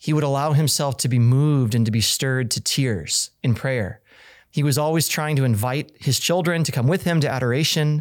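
In a plain, everyday voice, a man with an American accent speaks at a moderate pace and a fairly high pitch, with ordinary pitch variation, on a very clean recording with a silent background. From Kansas. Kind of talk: casual chat.

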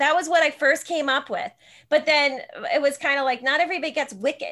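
This woman speaks at a very fast pace with a high pitch. Her tone is bright and sharp, and her intonation is lively. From New Jersey. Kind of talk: casual chat.

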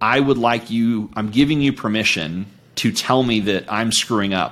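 An unremarkable speaking voice belongs to a man at medium pitch, talking at a moderate pace with ordinary pitch variation on a very clean recording with a silent background. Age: 40s. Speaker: coach and entrepreneur. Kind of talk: casual chat.

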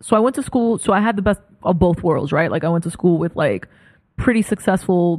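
A woman in a New York accent speaks at a moderate pace with an animated tone. The recording is very clean, with a silent background. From New York, Brooklyn. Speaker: creative director. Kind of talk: casual chat.

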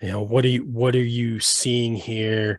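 His pitch is medium. The voice belongs to a man. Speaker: sports podcast host. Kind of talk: casual sports talk, then infomercial-style ad read. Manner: animated, enthusiastic, pitchy ad-read salesman delivery.

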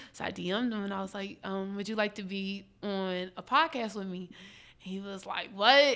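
A woman's bright, sharp voice in an American accent, medium in pitch with ordinary variation, at a moderate pace with hardly any pauses and big swings in loudness. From Philadelphia area (Upper Darby). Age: 20s. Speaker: journalist and podcaster. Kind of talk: casual chat.

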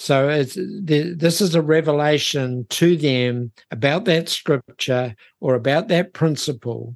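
Against a quiet background, a man with a New Zealand accent speaks in a fairly high voice with ordinary pitch variation. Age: 70s. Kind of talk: interview conversation. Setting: remote video call.

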